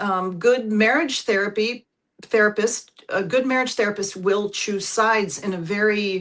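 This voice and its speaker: A woman at a moderate pace, an ordinary speaking voice, medium in pitch with ordinary pitch variation. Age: 50s. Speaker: couples therapist. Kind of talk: interview conversation.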